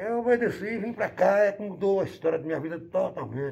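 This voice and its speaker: Using vocal fry, a man talks at a fairly quick pace with lively intonation. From Bahia, Brazil. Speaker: musician and model aircraft hobbyist. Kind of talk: interview. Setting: at his home.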